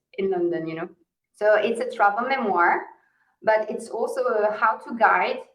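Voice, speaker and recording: In a Walloon accent, a woman speaks with a fairly high pitch. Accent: French-speaking Belgian. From Belgium. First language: French. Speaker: author. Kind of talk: podcast interview. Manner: hesitant fillers (uh, um).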